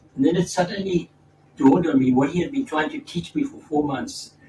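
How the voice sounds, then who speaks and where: Fairly quick, lively speech from a man at a fairly high pitch, amid noticeable background noise. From South Africa. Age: 80s+. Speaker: spiritual teacher and former doctor. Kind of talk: storytelling in a conversation. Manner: halting, with repeated words.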